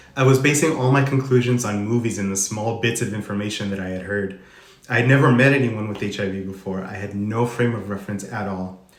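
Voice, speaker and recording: Amid audible room echo, a man speaks at a very fast pace. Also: fairly low pitch for a man, ordinary pitch variation. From Arizona, US (Tucson). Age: 30s. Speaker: HIV advocate sharing personal story. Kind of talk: reading aloud a personal testimony. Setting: Instagram live stream.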